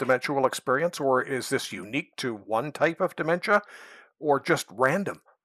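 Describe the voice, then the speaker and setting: A man speaks in a normal speaking voice, fairly high in pitch with ordinary pitch variation. He moves at a fairly quick pace. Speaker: podcast host. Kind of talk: interview conversation.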